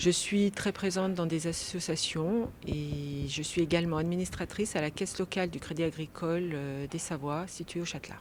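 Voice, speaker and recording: With an unremarkable speaking voice, a woman talks at a fairly low pitch and a moderate pace, with fairly even intonation and hardly any pauses. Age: 40s. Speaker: local election candidate. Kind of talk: political interview.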